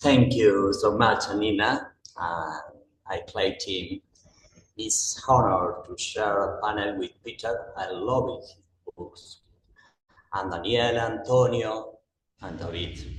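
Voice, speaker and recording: A man speaks at a very slow pace, with long, frequent pauses and big swings in loudness. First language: Spanish. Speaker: municipal official and security expert. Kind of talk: panel presentation, partly read from notes. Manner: reading from notes.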